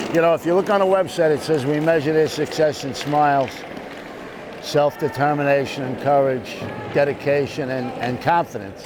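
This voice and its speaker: Over noticeable background noise, a man with an American accent talks with ordinary pitch variation. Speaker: war veteran; retired police lieutenant. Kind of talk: interview answer.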